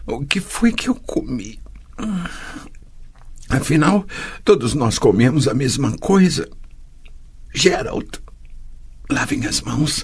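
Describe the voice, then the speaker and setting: Using a put-on character voice, a man sounds strained and tearful, speaking at a fairly slow pace with lively intonation. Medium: read story. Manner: tearful, strained.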